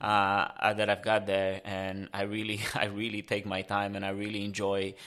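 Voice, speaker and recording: A man speaks with a Romanian accent at a moderate pace, his pitch fairly low. His intonation is monotone and flat, on a very clean recording with a silent background. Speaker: explorer and long-distance cyclist. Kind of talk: casual interview. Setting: in person studio. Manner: halting, many fillers.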